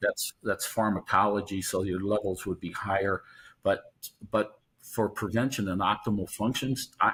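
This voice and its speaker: A somewhat breathy man with a fairly low pitch and fairly even intonation at a moderate pace, on a very clean recording with a silent background. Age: 70s. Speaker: vitamin D researcher, professor. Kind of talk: interview.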